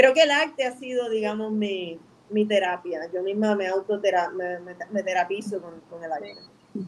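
In an ordinary speaking voice, a woman of medium pitch talks at a moderate pace with ordinary pitch variation and big swings in loudness. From Puerto Rico (Bayamón). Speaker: filmmaker and artist. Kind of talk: interview. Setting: live stream.

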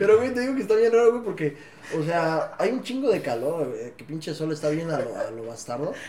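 A man with a high pitch and a Mexican accent, fairly quick, with very wide pitch swings, audible room echo and noticeable background noise. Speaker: podcast host. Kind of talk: casual chat. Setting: studio.

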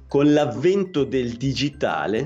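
Lively intonation from a man, noticeable background noise around him. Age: 40s. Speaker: electrician and podcaster. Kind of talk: casual interview chat. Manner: halting.

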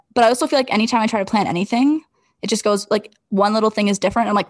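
An unremarkable speaking voice belongs to a woman at medium pitch with ordinary pitch variation. The background is quiet and the sound is dry and close, with no echo. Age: 20s. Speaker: podcast co-host. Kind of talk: casual chat.

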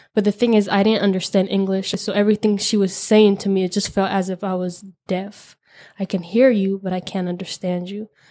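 A dark, mellow tone in a monotone, flat intonation at a fairly quick pace, on a very clean recording with a silent background. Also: woman, medium pitch for a woman. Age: 20s. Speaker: college student sharing immigrant story. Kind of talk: personal testimony interview.

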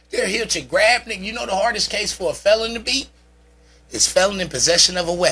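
A man's high-pitched, animated, raised and projected voice with ordinary pitch variation over noticeable background noise. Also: fairly quick pace. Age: 40s. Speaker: podcast host guest. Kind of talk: casual chat.

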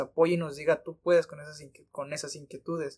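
The man's pace stays moderate. His voice sits high in pitch. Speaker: podcast co-host. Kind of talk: casual chat.

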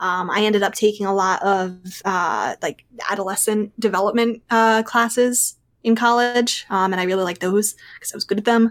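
This woman has a normal speaking voice at a medium pitch, with an American accent. Her intonation is fairly even and her pace moderate. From Pennsylvania, outside Philadelphia. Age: 20s. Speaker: podcast guest. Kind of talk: casual interview chat.

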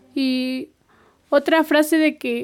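A woman talks at a high pitch with monotone, flat intonation. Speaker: community radio host. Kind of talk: interview.

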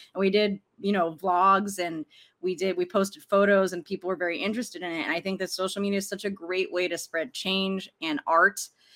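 Using an unremarkable speaking voice with an American accent, a woman speaks at a medium pitch and a fairly quick pace with fairly even intonation. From US East Coast, Arlington, Virginia. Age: 30s. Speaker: filmmaker. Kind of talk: interview. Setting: video call.

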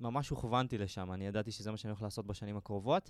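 Here a man speaks with fairly even intonation. He has a plain, everyday voice, and the recording is very clean with a silent background. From Israel, Galilee. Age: 20s. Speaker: web developer, digital nomad. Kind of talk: casual interview. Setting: studio.

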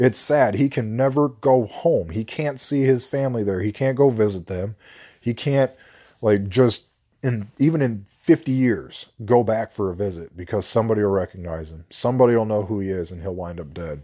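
A dark, mellow voice with an American accent moves at a moderate pace with lively intonation and big swings in loudness over a quiet background. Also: man, fairly low pitch for a man. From US Mexico border. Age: 30s. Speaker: podcast host. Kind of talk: casual monologue. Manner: rambling, hesitant.

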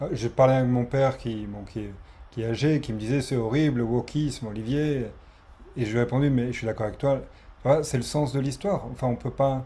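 A man speaks fairly quickly at a medium pitch, with fairly even intonation. His voice is somewhat breathy, with a dark, mellow tone. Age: 40s. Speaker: podcast host. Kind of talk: interview conversation.

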